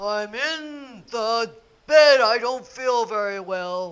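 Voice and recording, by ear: Speaking very slowly, a man puts on a character voice at an extremely high pitch.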